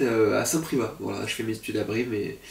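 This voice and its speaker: A man talks at a fairly quick pace while noticeable background noise plays. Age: 20s. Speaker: content creator, student. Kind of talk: casual video presentation. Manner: hesitant, many fillers.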